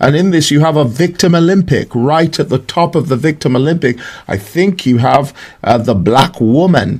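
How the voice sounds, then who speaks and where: Somewhat breathy, fairly high-pitched male speech with ordinary pitch variation, moderately paced. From Scotland and Essex, England. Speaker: prophet, preacher. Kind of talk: prophetic commentary monologue. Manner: halting, with fillers.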